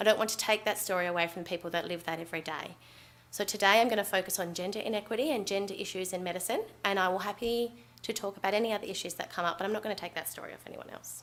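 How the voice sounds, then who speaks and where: A woman with an Australian accent, at a very fast pace, with big swings in loudness. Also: medium pitch for a woman, fairly even intonation. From Western Australia. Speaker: doctor. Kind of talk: conference talk.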